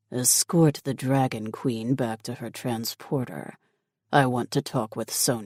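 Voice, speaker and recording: In a put-on character voice pitched low to middle, the speaker goes at a fairly slow pace on a very clean recording with a silent background. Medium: read story. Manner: commanding, curt.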